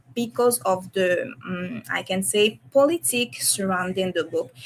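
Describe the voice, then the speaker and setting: A woman with a non-native accent speaks at a moderate pace. Her medium pitch moves in very wide swings. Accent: non-native English, self-described shaky. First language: French / Haitian Creole. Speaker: comic illustrator. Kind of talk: casual chat. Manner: halting, many hesitations and self-corrections.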